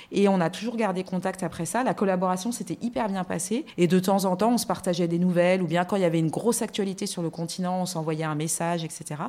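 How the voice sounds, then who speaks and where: In a dark, mellow tone, a woman talks at a fairly quick pace with a medium pitch and ordinary pitch variation. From France. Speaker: magazine editorial director and TV columnist. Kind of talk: casual interview.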